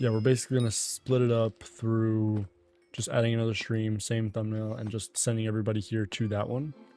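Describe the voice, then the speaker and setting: Music plays in the background as a man speaks at a fairly quick pace. His medium-pitched voice stays flat and monotone. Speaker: video game streamer. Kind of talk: casual live stream chat. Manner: softer, low-key.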